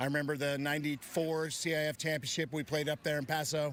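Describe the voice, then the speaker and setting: A fairly high-pitched man talks at a very fast pace with fairly even intonation. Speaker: football coach. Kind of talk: interview answer. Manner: casual, hesitant.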